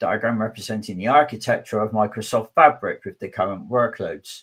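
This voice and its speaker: A man with a southwest English accent, very wide swings in pitch, and a moderate pace. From southwest England. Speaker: conference speaker, technology advocate. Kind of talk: technical conference talk.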